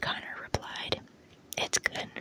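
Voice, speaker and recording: Someone whispers softly in a dry sound with no echo, with noticeable background noise behind. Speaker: reader of a novel. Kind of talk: audiobook-style read-aloud. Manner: soft ASMR whisper reading a story. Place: home room.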